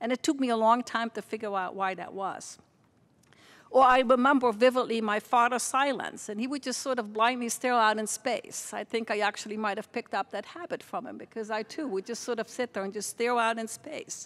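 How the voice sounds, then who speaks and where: Intonation stays fairly even while the pace runs fairly quick. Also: woman, fairly high pitch for a woman. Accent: Dutch. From Netherlands, near Margraten (Limburg). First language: Dutch. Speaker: university president. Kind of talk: welcome speech.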